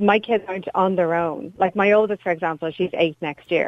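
A woman with an Irish accent speaks at a medium pitch and a fairly quick pace. Her intonation is fairly even. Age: 30s. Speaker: caller, mother of three. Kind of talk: phone-in radio call.

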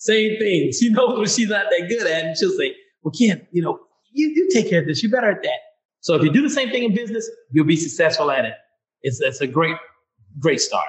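A man with a Mississippi accent talks at a high pitch and a fairly quick pace. His pitch swings very widely. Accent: Southern US (Mississippi). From US South, Vicksburg, Mississippi. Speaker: author and retired Air Force medic and nurse. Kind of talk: interview.

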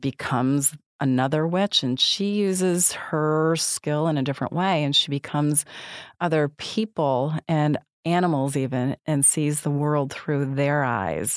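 A woman with an American accent speaks at a very deep, low pitch and a fairly slow pace, with ordinary pitch variation. The sound is dry and close with no echo, in a very clean recording with a silent background. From US Northeast, upstate New York. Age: old. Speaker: film critic. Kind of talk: casual chat.

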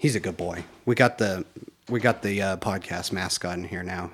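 A man with a normal speaking voice talks at a moderate pace and a fairly low pitch, his intonation fairly even but his loudness swinging widely. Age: 30s. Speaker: podcast co-host and small business owner. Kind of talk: casual chat. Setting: co-host's home.

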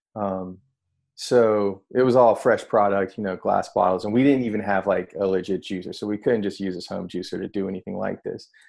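A man with an American accent talks at a fairly quick pace in a normal speaking voice, with a fairly low pitch, fairly even intonation and a quiet background. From North Carolina, small town. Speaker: juice company co-founder. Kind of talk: casual interview chat.

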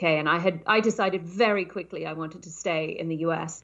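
A woman speaks in a southern British accent at a fairly low pitch. Her intonation is fairly even. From southern England. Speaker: startup consultant. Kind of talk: interview conversation.

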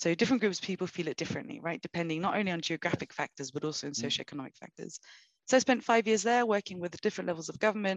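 A woman with a London accent at a medium pitch, very fast, with lively intonation and a dry, close sound with no echo. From London, England. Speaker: sustainability finance expert. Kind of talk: interview.

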